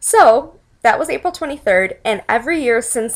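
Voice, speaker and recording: A woman speaks with a Chicago accent. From US Midwest, Chicago. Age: 20s. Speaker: epilepsy awareness advocate. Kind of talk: personal testimony vlog.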